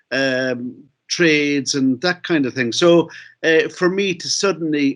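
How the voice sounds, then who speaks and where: A man with a Cork accent and a fairly high pitch. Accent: Irish, Cork. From Ireland, Cork City. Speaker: novelist and playwright. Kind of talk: conference talk. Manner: halting.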